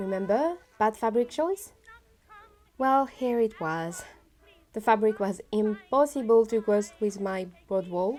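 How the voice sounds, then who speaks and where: Pausing long and often, a woman with a French accent speaks at a fairly slow pace. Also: fairly high pitch for a woman, ordinary pitch variation. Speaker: costume maker. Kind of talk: sewing vlog narration.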